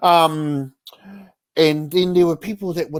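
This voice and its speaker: A man with a high pitch talks at a moderate pace in a dry, close sound with no echo. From New Zealand. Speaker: spoken word poet. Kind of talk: interview answer. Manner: casual, hesitant.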